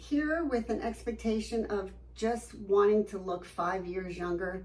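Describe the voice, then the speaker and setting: The woman's voice is somewhat breathy. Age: 60s. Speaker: med spa patient giving testimonial. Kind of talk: testimony interview. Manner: animated, enthusiastic.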